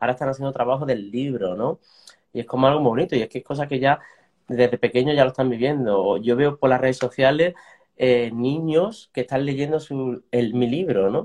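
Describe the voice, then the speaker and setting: Talking at a fairly quick pace, a man uses an ordinary speaking voice at a medium pitch with ordinary pitch variation. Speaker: animal sanctuary co-founder and author. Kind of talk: interview.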